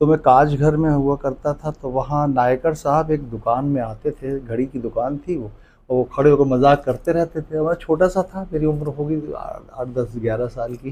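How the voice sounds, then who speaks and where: Dark, mellow tone with fairly even intonation. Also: man, fairly high pitch for a man. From Jabalpur, central India. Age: 60s. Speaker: comedian. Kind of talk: interview.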